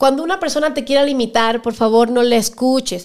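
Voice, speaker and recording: This woman speaks at a fairly quick pace. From Cuba. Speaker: actress and singer. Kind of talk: casual interview chat. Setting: studio.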